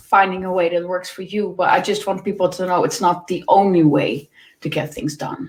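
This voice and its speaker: A woman with a Dutch accent talks at a moderate pace, her medium pitch showing ordinary variation. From Netherlands. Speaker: work-life balance coach. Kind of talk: podcast interview. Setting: live video stream. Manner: halting, many repetitions.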